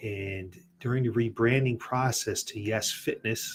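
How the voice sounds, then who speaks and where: A somewhat breathy voice with an American accent and ordinary pitch variation comes through on a very clean recording with a silent background. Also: man. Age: 60s. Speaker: fitness studio owner and podcast host. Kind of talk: personal story on a podcast.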